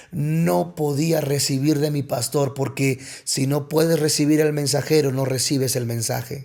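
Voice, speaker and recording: Using an ordinary speaking voice, a man talks at a fairly slow pace with fairly high pitch and fairly even intonation. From Mexico, Coatzacoalcos, Veracruz. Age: 30s. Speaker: pastor. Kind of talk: personal testimony in podcast interview.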